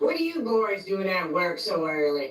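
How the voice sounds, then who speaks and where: In a put-on character voice at a middle pitch, the speaker moves at a moderate pace with very wide pitch swings. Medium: game stream. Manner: suspicious, confrontational.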